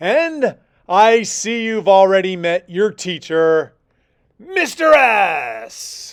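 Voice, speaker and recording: At a middle pitch, a put-on character voice is raised and projected at a very slow pace. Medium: read story. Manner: polite, slightly flustered.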